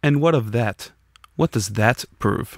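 In a put-on character voice with vocal fry and lively intonation, the speaker goes at a fairly slow pace, the sound dry and close with no echo on a very clean recording with a silent background. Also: man, fairly low pitch for a man.

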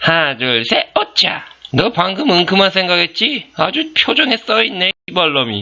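A put-on character voice at middle pitch moves at a moderate pace with very wide pitch swings. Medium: dub. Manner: contemptuous, bossy, swearing.

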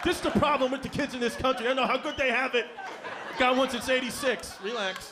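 A raised, projected voice with an American accent, at a fairly quick pace and with fairly even intonation, over noticeable background noise. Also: man, extremely high pitch for a man. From Bushwick, Brooklyn, New York; New York. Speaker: stand-up comedian. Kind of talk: stand-up. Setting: stage with audience. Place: stage. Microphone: handheld.

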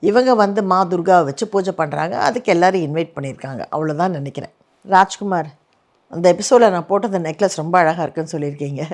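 A woman speaks in a plain, everyday voice, fairly low in pitch, with ordinary pitch variation. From Chennai, India. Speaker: actress and YouTube host. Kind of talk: comment reply monologue. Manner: casual conversational.

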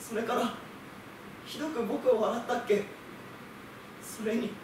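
In a room with audible echo and noticeable background noise, a man talks at a fairly slow pace. His pitch is extremely high, and his intonation is monotone and flat. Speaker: theatre company actor; theatre actor doing a reading. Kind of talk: literary reading, storytelling narration. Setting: group reading recital. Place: stage. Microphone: camera far.

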